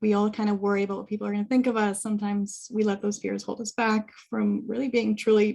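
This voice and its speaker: A woman talks at a very fast pace in a medium pitch. Her tone is dark and mellow, and somewhat breathy. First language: Arabic. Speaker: social services worker and interpreter. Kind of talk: panel discussion answer.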